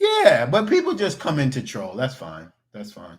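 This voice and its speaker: An animated voice in a New York accent moves at a moderate pace. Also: man. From New York (Queens, Long Island). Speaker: cooking YouTuber. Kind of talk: livestream chat. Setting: livestream with webcam. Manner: casual, animated.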